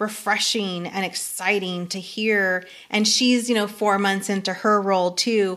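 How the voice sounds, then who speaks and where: Using fairly even intonation, a woman talks at a moderate pace and medium pitch. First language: not English. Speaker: community college vice president. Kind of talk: interview.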